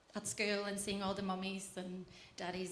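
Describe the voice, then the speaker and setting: Somewhat breathy, a woman speaks at a medium pitch and moderate pace with monotone, flat intonation, in audible room echo. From Latvia. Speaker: church member sharing testimony. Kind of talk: testimony.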